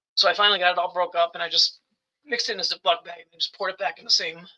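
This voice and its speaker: A man does a put-on character voice, raspy and high-pitched, at a very fast pace with fairly even intonation. His loudness swings widely, and the sound is dry and close with no echo. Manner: a little weird, tired.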